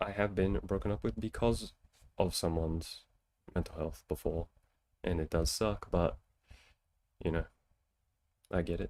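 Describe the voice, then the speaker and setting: Against a very clean recording with a silent background, a man speaks in a very deep, low pitch with a relaxed tone. His moderate pace is broken by long, frequent pauses, and his pitch varies in an ordinary way. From Australia, New South Wales (near Newcastle). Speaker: streamer giving relationship advice. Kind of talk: casual live-stream chat, answering viewer questions. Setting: live stream, reading chat. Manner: casual, relaxed with filler words.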